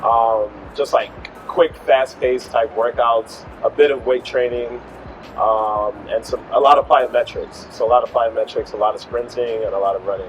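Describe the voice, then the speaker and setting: With an American accent, a man talks while music sounds behind him. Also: moderate pace. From Chicago, US Midwest. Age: 30s. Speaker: fitness travel creator. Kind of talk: interview. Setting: in Thailand.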